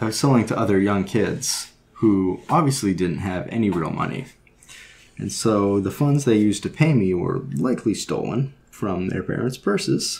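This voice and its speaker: A soft-spoken man talks at a moderate pace. His pitch is fairly low. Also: lively intonation. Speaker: woodcarver. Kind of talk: personal anecdote.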